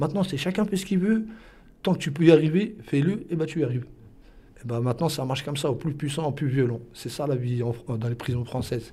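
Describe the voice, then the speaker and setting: A man's fairly high, somewhat breathy voice with a dark, mellow tone, lively intonation and a fairly quick pace. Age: 30s. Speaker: defendant in court. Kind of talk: interview.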